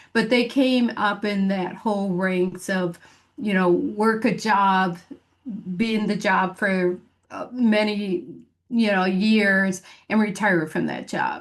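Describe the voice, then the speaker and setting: A woman speaks in a Michigan accent at a medium pitch. Her pace is very slow. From Michigan, US Midwest. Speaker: business coach. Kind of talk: podcast interview. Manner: many fillers and false starts.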